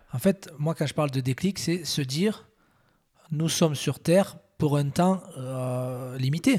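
A man speaks at a very slow pace with a somewhat breathy voice. His pitch sits fairly high. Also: ordinary pitch variation. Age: 40s. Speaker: entrepreneur. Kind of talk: casual interview.

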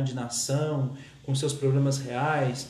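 A man with a slight São Paulo accent, fairly high pitch, fairly even intonation and a fairly slow pace, amid audible room echo. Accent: slight São Paulo caipira. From São Paulo state, Brazil. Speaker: teacher and podcast host. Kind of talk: solo podcast monologue. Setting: home recording at night, rainy evening.

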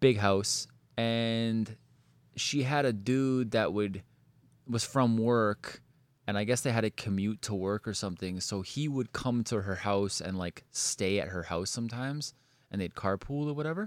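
Fairly slow in pace, a man talks in an unremarkable speaking voice at medium pitch with ordinary pitch variation. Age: 30s. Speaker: podcast host. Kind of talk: casual chat; storytelling.

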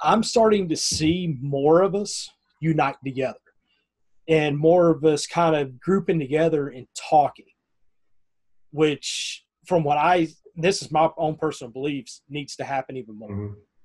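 With a Southern US accent, a man speaks at a fairly high pitch with ordinary variation, big swings in loudness, and long, frequent pauses. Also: moderate pace. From US South (north Florida, near Tallahassee). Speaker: podcast host. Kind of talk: casual interview chat.

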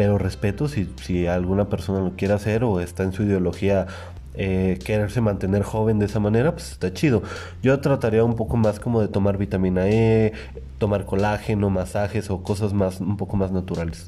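Speaking at a fairly quick pace, a man uses an ordinary speaking voice with fairly low pitch and ordinary pitch variation. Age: 20s. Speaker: podcast host. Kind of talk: casual chat.

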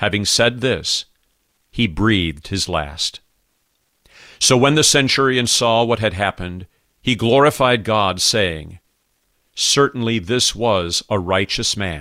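Very slowly and with long, frequent pauses, a man speaks at a fairly low pitch in a bright, sharp, solemn tone with lively intonation. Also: very clean recording, silent background. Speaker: pastor. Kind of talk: guided prayer meditation with scripture reading, liturgical prayer. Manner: solemn, measured, formal; slow, reverent.

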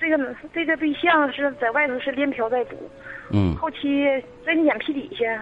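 Over noticeable background noise, a woman talks at a moderate pace in a high pitch with ordinary pitch variation. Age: 30s. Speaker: caller. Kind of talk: emotional personal story. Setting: phone call. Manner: halting, incoherent.

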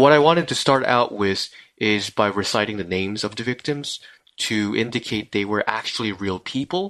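With a Korean accent, a man speaks at a fairly low pitch. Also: ordinary pitch variation, moderate pace, quiet background. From South Korea. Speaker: podcast co-host. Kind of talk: live stream discussion. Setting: live stream.

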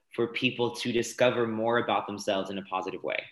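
A man's bright, sharp voice at medium pitch, with an American accent, on a very clean recording with a silent background. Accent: transatlantic, American-sounding. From France. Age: 20s. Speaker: dancer and fitness instructor. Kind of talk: casual interview.

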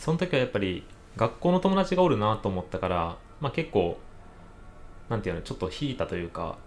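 A man with a Kansai accent talks at a very fast pace and a medium pitch, his pitch swinging very widely, with long, frequent pauses. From Kansai, Japan. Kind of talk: casual chat.

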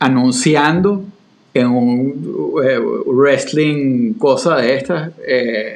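This man has a normal speaking voice at medium pitch. His pitch varies in an ordinary way. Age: 40s. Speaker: podcast co-host. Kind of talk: casual conversational discussion.

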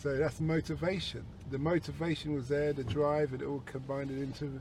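His voice is somewhat breathy. The speaker is a man. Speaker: taxi driver podcast host. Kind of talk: casual chat. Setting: in a car.

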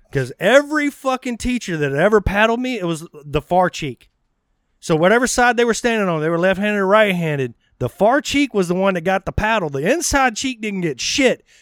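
Speaking at a fairly quick pace, a man with a high pitch sounds animated, using very wide pitch swings. The sound is dry and close with no echo, in a very clean recording with a silent background. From Texas (Texarkana). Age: 40s. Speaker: podcast host. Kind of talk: casual chat. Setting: outdoors on a patio.

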